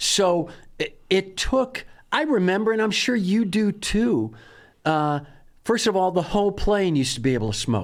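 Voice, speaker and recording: With an American accent, a high-pitched man speaks at a moderate pace with lively intonation and very even loudness in a very clean recording with a silent background. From Wisconsin. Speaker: comedian and writer. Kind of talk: casual chat.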